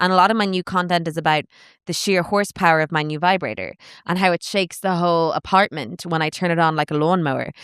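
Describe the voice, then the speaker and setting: The speaker has an Irish accent. The pace is very fast. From Ireland. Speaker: stand-up comedian. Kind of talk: casual chat.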